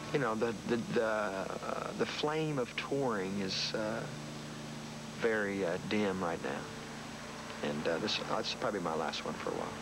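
A man is the one speaking. Behind him, music plays in the background. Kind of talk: interview answer. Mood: relaxed, wry, joking. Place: garden.

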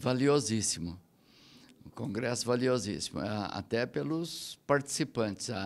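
Here a man talks at a fairly slow pace. His medium pitch shows ordinary variation. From Brazil. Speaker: business support agency head. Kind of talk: interview. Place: hall. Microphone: handheld.

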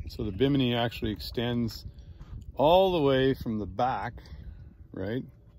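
The voice moves at a fairly slow pace with ordinary pitch variation. The sound is dry with no echo, and there is light background noise. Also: man. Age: 60s. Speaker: YouTube reviewer. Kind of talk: product review walkthrough; casual review tutorial. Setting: outdoors on a boat. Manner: casual, rambling with fillers. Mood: relaxed, jokey. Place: boat. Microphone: phone near.

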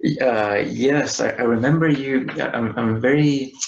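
With a Spanish accent, this man talks using ordinary pitch variation. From Chile. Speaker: IT worker and spiritual guest; guest. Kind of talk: interview. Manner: halting. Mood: calm, reflective. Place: home room. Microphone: webcam.

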